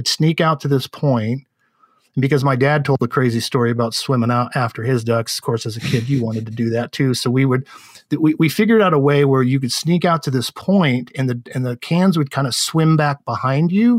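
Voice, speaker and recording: Recorded dry and close with no echo, a man with an American accent and a plain, everyday voice talks at a fairly quick pace, his medium pitch showing ordinary variation. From San Francisco Bay Area, California. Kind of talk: casual interview.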